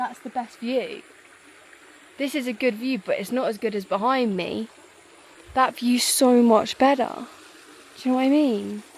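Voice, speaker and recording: A woman with a northern English accent and a high voice speaks at a moderate pace with ordinary pitch variation and long, frequent pauses over noticeable background noise. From northern England. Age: 20s. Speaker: travel vlogger. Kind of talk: casual vlog chat. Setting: outdoors. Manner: animated.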